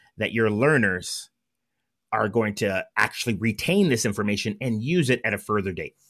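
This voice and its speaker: With an American accent, a man of medium pitch speaks at a moderate pace in a bright, sharp tone on a very clean recording with a silent background. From Southern California. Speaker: play and improv coach, company founder. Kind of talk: casual interview conversation.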